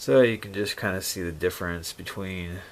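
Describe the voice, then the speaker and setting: With fairly even intonation, a man speaks at a moderate pace in a very deep, low voice. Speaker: firearms reviewer. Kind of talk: product review. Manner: casual with many fillers.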